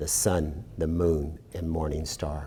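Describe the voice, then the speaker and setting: Very deep and low, this man's voice has a dark, mellow tone and vocal fry. He speaks at a very slow pace with ordinary pitch variation. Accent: American. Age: 60s. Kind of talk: storytelling. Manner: animated.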